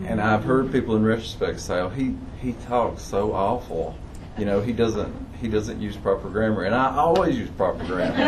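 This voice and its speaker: A man with an Appalachian accent, medium in pitch with ordinary variation, at a moderate pace, amid noticeable background noise and audible room echo. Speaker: audience member. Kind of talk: audience Q&A.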